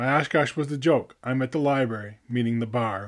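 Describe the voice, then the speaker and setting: A normal speaking voice from a man with an American accent, medium pitch and ordinary pitch variation. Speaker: poet laureate and podcaster. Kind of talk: poetry reading, spoken-word style, reflective and heartfelt. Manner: measured, earnest, contemplative.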